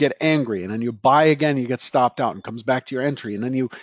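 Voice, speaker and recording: An unremarkable speaking voice carries ordinary pitch variation. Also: man. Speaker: trading educator. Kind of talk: Q&A session.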